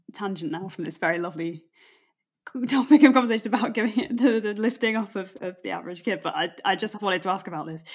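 At a very fast pace, a woman talks with lively intonation at a medium pitch. Her loudness shows big swings. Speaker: podcast host. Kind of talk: casual interview chat.

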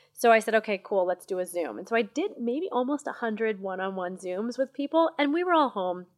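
In a very clean, dry, close recording with no echo and a silent background, a woman with an American accent talks at a fairly quick pace, her pitch swinging very widely. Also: fairly high pitch for a woman, hardly any pauses. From US Midwest (Missouri). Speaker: marketing executive. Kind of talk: interview. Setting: podcast lounge at a marketing event. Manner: animated, passionate.

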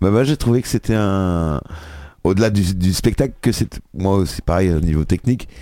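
On a very clean recording with a silent background, a man with a very deep, low pitch and a dark, mellow tone talks at a moderate pace with lively intonation. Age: 50s. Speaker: local radio host. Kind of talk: casual chat.

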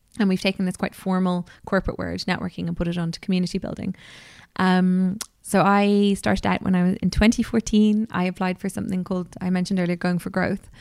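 On a very clean recording with a silent background, a woman talks very fast in an Irish accent at medium pitch. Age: 30s. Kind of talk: interview. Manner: animated.

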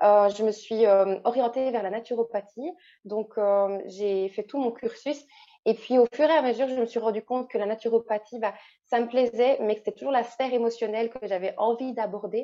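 Speaking in a Belgian accent, a woman talks at a moderate pace with a fairly high pitch and fairly even intonation. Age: 20s. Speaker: naturopath and coach. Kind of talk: casual interview.

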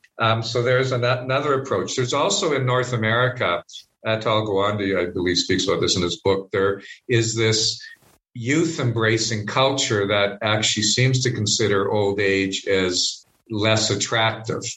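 In a Canadian accent, a man with an ordinary speaking range uses a plain, everyday voice, a medium pitch, ordinary pitch variation, very even loudness and a moderate pace. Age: 50s. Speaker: spiritual director. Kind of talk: interview conversation.

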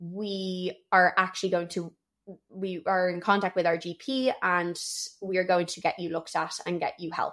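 Speaking with a Dublin accent, a woman keeps a medium pitch, a moderate pace and a monotone, flat intonation. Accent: Irish (Dublin). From Ireland, Dublin. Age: 20s. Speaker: personal trainer and gym owner. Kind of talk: solo personal storytelling podcast. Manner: chatty, talkative.

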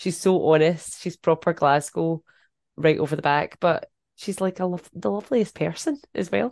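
With a Scottish accent and a fairly low pitch, a woman talks at a moderate pace with lively intonation in a dry, close sound with no echo and a quiet background. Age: 40s. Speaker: podcast host. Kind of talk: casual chat.

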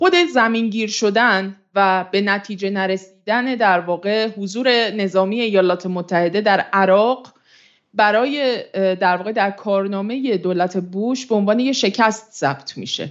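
Using a plain, everyday voice, a woman speaks at a fairly slow pace with a medium pitch and ordinary pitch variation. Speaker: international affairs editor and analyst. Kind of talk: in-depth political analysis discussion. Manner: formal.

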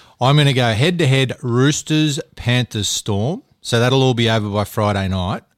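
A man with an Australian accent speaks at a medium pitch in a very clean recording with a silent background and a dry, close sound with no echo. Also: ordinary pitch variation, moderate pace, hardly any pauses. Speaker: co-host of sports podcast. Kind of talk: casual sports banter.

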